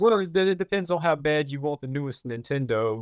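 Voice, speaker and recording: A man with an American accent, fairly quick, with ordinary pitch variation and a dry, close sound with no echo. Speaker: podcast co-host. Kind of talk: casual podcast chat. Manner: jokey, animated.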